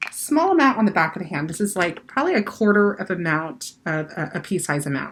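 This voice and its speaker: A woman with a somewhat breathy voice talks with lively intonation. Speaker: makeup artist and cosmetics brand owner. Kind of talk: tutorial. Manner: casual, many fillers.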